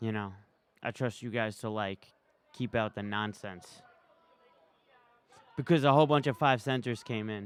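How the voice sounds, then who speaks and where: Talking at a moderate pace in a New York accent, a man uses a medium pitch with ordinary pitch variation and long, frequent pauses. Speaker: live streamer. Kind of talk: casual live stream commentary. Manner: casual, conversational.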